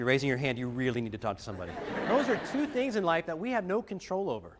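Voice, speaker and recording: Over noticeable background noise, a high-pitched man speaks with very wide pitch swings. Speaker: motivational speaker. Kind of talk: motivational talk to students.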